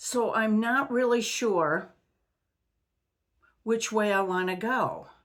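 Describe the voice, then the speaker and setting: The speaker talks at a very slow pace with long, frequent pauses, very even loudness and ordinary pitch variation, in audible room echo. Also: woman, fairly high pitch for a woman. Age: 70s. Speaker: retired vlogger. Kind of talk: casual personal vlog talk. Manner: halting.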